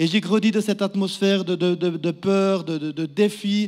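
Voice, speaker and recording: Speaking with a Neuchâtel accent on a very clean recording with a silent background, a man uses a high pitch, fairly even intonation and a moderate pace. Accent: Neuchâtel Swiss French. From Switzerland, Neuchâtel canton (Val-de-Travers, Les Ponts-de-Martel). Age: 30s. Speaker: preacher giving testimony. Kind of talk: testimony sermon. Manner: halting, many repeated words.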